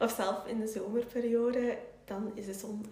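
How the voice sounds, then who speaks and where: Monotone, flat delivery in a Flemish accent, with noticeable background noise and audible room echo. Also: woman. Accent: Flemish Dutch. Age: 20s. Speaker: entrepreneur and YouTuber. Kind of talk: interview.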